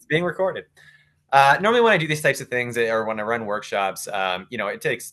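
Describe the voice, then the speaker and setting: Speaking very fast, a man with a Canadian accent has a bright, sharp tone. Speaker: sponsorship consultant. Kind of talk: webinar presentation.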